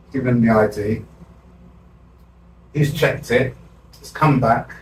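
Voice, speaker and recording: A man's medium-pitched voice at a fairly slow pace, with fairly even intonation, big swings in loudness and noticeable background noise. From South London. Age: 60s. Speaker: community activist. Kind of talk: interview storytelling.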